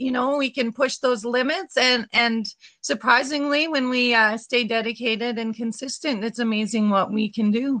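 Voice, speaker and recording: Speaking in a Canadian Prairies accent, a woman has a fairly high pitch. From Saskatchewan, Canada. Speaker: running group organizer. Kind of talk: casual interview chat. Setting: remote call.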